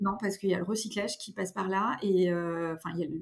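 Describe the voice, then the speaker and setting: A woman's voice sits at medium pitch. She keeps a moderate pace. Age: 30s. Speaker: fashion brand co-founder. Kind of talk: interview. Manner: halting.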